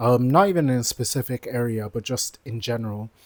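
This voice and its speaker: A man with a London accent speaks at a medium pitch with ordinary pitch variation. The sound is dry and close, with no echo. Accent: London multicultural English. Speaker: vlogger and aspiring entrepreneur. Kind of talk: casual vlog monologue.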